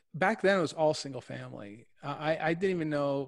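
On a very clean recording with a silent background, a man with an Ontario accent speaks at a fairly quick pace with ordinary pitch variation. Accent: Canadian (Ontario). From Windsor, Ontario, Canada. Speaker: real estate investor. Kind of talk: interview.

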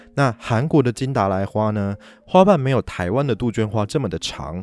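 Over a silent background on a very clean recording, a man talks at a moderate pace with lively intonation. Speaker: podcast host. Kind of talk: solo podcast talk. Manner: animated.

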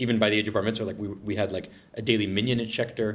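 In an American accent, a man with a fairly low voice talks at a very fast pace. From Massachusetts, Braintree south of Boston. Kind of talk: interview.

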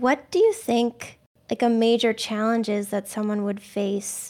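Fairly high in pitch, a woman speaks at a fairly slow pace in an ordinary speaking voice. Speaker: podcast host. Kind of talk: casual interview.

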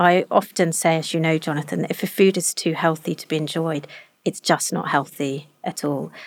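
Her pitch is very deep and low for a woman, with ordinary variation. She talks at a fairly quick pace. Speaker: nutrition scientist.

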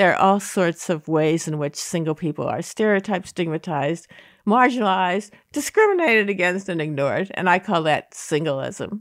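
On a very clean recording with a silent background, a normal speaking voice keeps a moderate pace and ordinary pitch variation. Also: woman, medium pitch for a woman. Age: 60s. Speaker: social scientist. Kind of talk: interview conversation.

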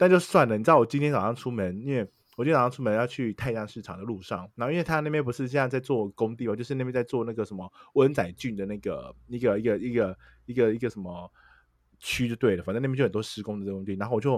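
At a very fast pace, a man speaks at medium pitch with ordinary pitch variation. The recording is very clean, the background silent. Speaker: podcast co-host. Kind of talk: casual chat.

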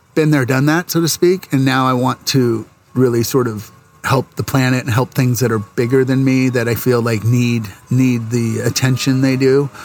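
Over music in the background, a man at medium pitch speaks at a moderate pace with fairly even intonation. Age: 50s. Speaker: commercial photographer. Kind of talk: casual chat.

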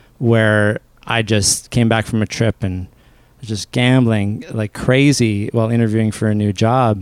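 On a very clean recording with a silent background, a man with a Canadian accent speaks fairly slowly at a medium pitch with fairly even intonation, in an unremarkable speaking voice. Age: 30s. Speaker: personal finance coach. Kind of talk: interview.

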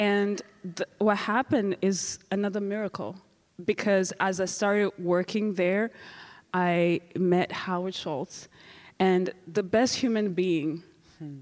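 A woman at medium pitch, very slow, with fairly even intonation and long, frequent pauses. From Rwanda. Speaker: genocide survivor. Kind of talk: testimony. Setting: stage with audience.

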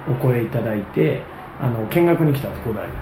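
There's audible room echo and noticeable background noise. A man speaks at a fairly quick pace with lively intonation. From Japan, Chiba. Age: 30s. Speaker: tennis coach. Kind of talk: casual interview.

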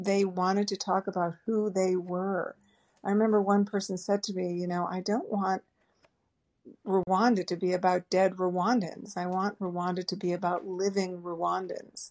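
In an American accent, a woman talks at a moderate pace and medium pitch. Her intonation is flat and monotone. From US Northeast, Boston area. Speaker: travel writer. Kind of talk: interview.

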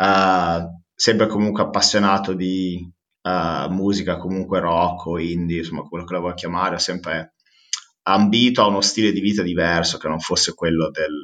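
A man speaks with a very deep, low pitch at a moderate pace. His intonation stays fairly even. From Modena, northern Italy. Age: 30s. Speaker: recruitment company founder. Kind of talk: interview. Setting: remote call. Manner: hesitant, many fillers and repetitions.

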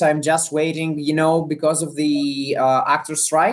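A man in a Greek accent, at a moderate pace, with fairly even intonation. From Greece. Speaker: actor and comedian. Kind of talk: interview. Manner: halting.

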